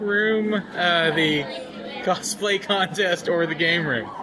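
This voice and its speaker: A man talks in a high voice whose pitch moves in an ordinary way, with noticeable noise behind him. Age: 20s. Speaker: podcast co-host. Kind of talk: casual chat. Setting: hotel lobby at a convention, live recording.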